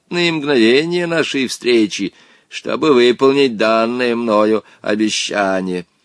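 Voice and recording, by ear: The speaker reads aloud in a natural voice, the intonation lively throughout.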